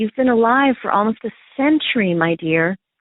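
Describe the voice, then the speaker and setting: With a normal speaking voice, a woman talks at a fairly high pitch with lively intonation. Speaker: psychotherapist and podcast host. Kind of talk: interview questions.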